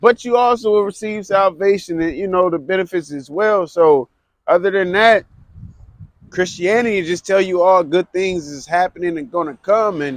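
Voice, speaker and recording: The recording is dry and close with no echo, carrying a man's high-pitched voice with ordinary pitch variation. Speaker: street preacher. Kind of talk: street preaching. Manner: loud.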